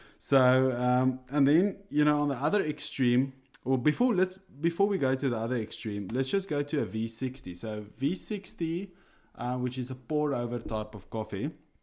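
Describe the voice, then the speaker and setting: A man's medium-pitched voice in an Afrikaans South African accent, at a moderate pace with lively intonation. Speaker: coffee enthusiast co-host. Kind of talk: casual chat. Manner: hesitant, many fillers.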